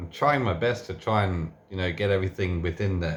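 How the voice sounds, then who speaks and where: A man with a somewhat breathy voice is heard on a very clean recording with a silent background. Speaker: tool reviewer. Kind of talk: unscripted tool review and teardown. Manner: soft-spoken, talking quietly; halting, many fillers and restarts.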